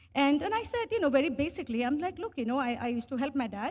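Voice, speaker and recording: A woman with an Indian accent talks at a very fast pace and a high pitch in a very clean recording with a silent background. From India, Bangalore (early years in Bhutan). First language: Hindi. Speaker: tech professional. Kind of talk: interview storytelling.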